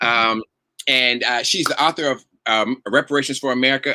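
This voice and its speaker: A man's medium-pitched voice with a bright, sharp tone, in a dry, close sound with no echo. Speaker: political talk show host. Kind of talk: interview show wrap-up. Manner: fast; halting, many fillers.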